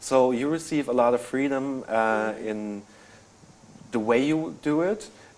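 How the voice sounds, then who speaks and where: With a German accent, a man speaks using ordinary pitch variation. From Germany. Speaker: senior merchandise planner; panelist. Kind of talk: live webinar interview. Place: studio. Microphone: lapel.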